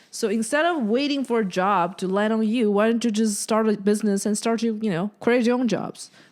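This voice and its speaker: In a very clean recording with a silent background, a woman speaks at a fairly quick pace with hardly any pauses, a fairly high pitch, ordinary pitch variation and very even loudness. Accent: non-native. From China. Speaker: podcast host and comedian. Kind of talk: casual chat.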